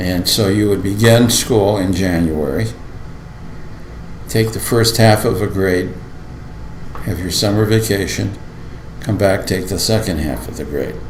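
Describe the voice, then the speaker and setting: A man's fairly low voice with ordinary pitch variation, long and frequent pauses, noticeable background noise and audible room echo. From Lorain, Ohio (US Midwest). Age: 70s. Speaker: school board member. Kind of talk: oral history interview. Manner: halting.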